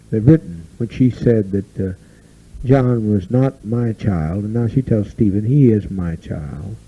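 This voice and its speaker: Somewhat breathy and fairly low, a man's dark, mellow voice moves at a fairly slow pace with ordinary pitch variation. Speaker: cult leader. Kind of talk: speech to a community gathering. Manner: agitated, animated.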